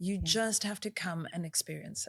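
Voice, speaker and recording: The speaker is soft-spoken and somewhat breathy. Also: woman. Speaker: marina senior manager at a resort developer, interviewee. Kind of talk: interview answer. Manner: articulate, softly spoken.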